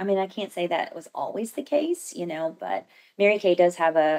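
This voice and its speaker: In an ordinary speaking voice, a woman with an American accent talks at a fairly quick pace, her pitch fairly low with ordinary pitch variation, against a quiet background. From Southern Indiana; Indiana. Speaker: cosmetics sales director and entrepreneur; cosmetics sales director. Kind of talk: casual interview. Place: meeting room. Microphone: studio mic.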